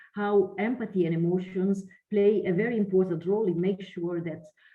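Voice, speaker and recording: Somewhat breathy, a woman with an Italian accent speaks at a medium pitch with ordinary pitch variation, with audible room echo. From Italy. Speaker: lecturer and researcher. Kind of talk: online lecture.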